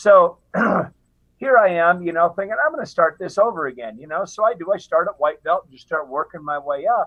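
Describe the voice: A man's high voice at a fairly quick pace, with ordinary pitch variation.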